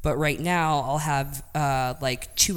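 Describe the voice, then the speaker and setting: A woman talks in a very deep, low pitch, and audible room echo surrounds her voice. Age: 20s. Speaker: powerlifter, world record holder. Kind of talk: interview.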